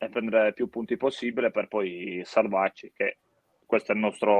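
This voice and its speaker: A man at a moderate pace with a Sardinian accent and lively intonation, in a dry, close sound with no echo. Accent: Sardinian-accented Italian. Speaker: football goalkeeper. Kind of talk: interview.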